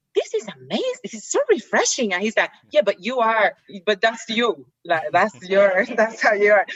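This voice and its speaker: With a dry, close sound and no echo, a woman speaks at a moderate pace, her pitch fairly high and her pitch variation ordinary. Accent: Puerto Rican. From Puerto Rico, south (near Ponce). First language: Spanish. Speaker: activist and actress. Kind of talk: casual interview chat. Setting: video call.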